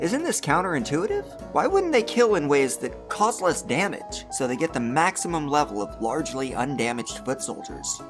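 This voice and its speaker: Music can be heard behind the voice. The pace is moderate. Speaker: video essayist. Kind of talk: video essay narration.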